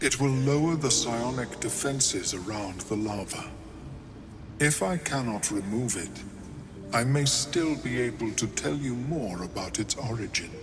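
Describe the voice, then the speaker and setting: Put-on character voice from a man at medium pitch, moderate pace, over loud background noise. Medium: video game. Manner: formal, measured, precise.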